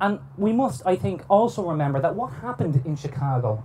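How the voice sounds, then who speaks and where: Intonation rises and falls in a lively way. The man speaks with an Irish accent. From Ireland. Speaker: historian. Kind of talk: lecture. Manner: formal.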